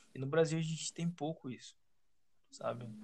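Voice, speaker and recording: In an ordinary speaking voice, a man talks at a fairly high pitch with fairly even intonation. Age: 20s. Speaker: podcast host. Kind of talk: casual chat.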